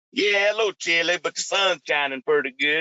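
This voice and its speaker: A man speaks with a North Carolina accent. His pitch varies in an ordinary way, and his pace is fairly quick. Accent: Southern US (North Carolina). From North Carolina (Burlington). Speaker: truck driver. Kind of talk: casual interview.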